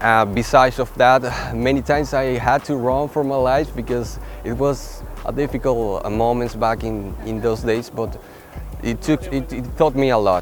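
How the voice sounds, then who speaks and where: Background noise is noticeable. A man with a Spanish accent speaks at a moderate pace. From Venezuela. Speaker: photographer. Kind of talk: interview monologue. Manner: halting, with repetitions and fillers.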